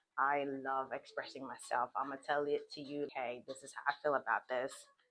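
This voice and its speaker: Over music in the background, the voice moves at a moderate pace with an animated tone. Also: woman. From Australia. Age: 30s. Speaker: vlogger. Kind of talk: casual vlog monologue.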